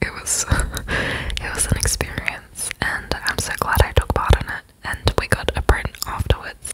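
A woman whispers rather slowly, with noticeable noise in the background. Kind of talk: ASMR apartment tour voiceover. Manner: whispered, soft.

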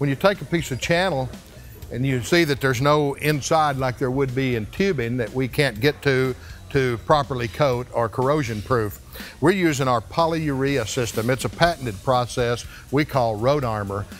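A man at a moderate pace and ordinary pitch variation, dry with no echo, faint music behind him. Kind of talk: promotional tour presentation. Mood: proud, confident. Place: factory.

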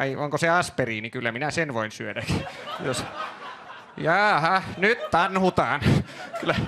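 Over noticeable background noise, a man with a fairly high pitch and lively intonation talks with long, frequent pauses. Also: fairly slow pace. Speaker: stand-up comedian. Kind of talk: stand-up comedy. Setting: stage with audience. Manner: casual, conversational, rambling with filler words.

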